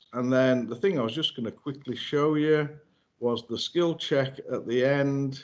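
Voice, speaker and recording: The speaker talks in a Yorkshire accent at a fairly slow pace. Pitch variation is ordinary. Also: man. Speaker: software trainer. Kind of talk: webinar presentation. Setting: online webinar. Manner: halting, many fillers.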